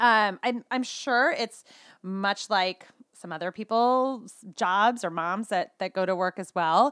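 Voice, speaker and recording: A woman with an American accent speaks at a very slow pace. Her pitch is medium, and the recording is very clean with a silent background. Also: ordinary pitch variation, dry, close sound with no echo. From California. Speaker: skincare sales consultant and mom. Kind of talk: casual interview chat.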